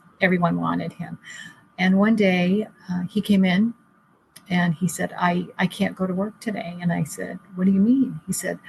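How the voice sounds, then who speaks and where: A woman's voice sits at medium pitch and sounds somewhat breathy. Her intonation stays fairly even. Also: moderate pace. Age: 60s. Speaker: caregiver. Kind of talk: interview. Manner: halting.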